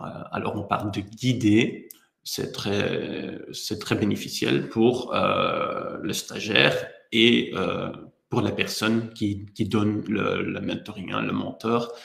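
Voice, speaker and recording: The speech moves at a very slow pace. Audible room echo is present. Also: man. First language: not French (speaking French). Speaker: HR software presenter. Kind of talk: webinar presentation. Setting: online webinar. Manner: hesitant, frequent fillers.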